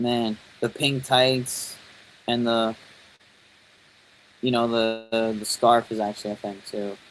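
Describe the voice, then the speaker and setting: A man with a New York accent speaks at a very slow pace and a medium pitch, with long, frequent pauses. His intonation is monotone and flat. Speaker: toy and wrestling YouTuber. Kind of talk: live stream commentary. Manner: casual, rambling; mumbling at times.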